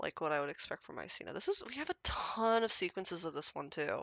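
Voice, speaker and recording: Speaking with an American accent, a woman moves at a moderate pace in an animated tone. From US Midwest. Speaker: mycology livestreamer doing DNA sequence validation. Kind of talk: casual livestream narration while working. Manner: animated, chatty.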